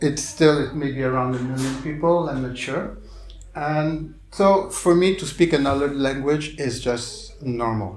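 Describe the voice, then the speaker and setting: A man with a fairly high pitch and ordinary pitch variation talks fairly slowly over noticeable background noise, with audible room echo. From Quebec, Montreal. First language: French. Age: 60s. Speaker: clown and visual artist. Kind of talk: public talk. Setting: bookstore stage with audience.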